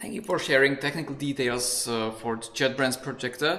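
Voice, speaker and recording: A man talks with a Czech accent. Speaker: conference moderator. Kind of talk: Q&A moderation. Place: home room. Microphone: studio mic.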